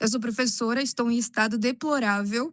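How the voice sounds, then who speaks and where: A woman in a plain, everyday voice speaks at a moderate pace, fairly high in pitch with fairly even intonation. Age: 30s. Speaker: art teacher and amateur poet. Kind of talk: casual chat. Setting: video call.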